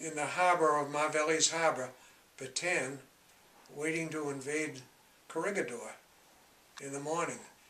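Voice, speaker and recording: A man with an American accent, long, frequent pauses and noticeable background noise. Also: fairly high pitch for a man, fairly even intonation, moderate pace. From Massachusetts, USA. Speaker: war veteran. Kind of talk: interview answer.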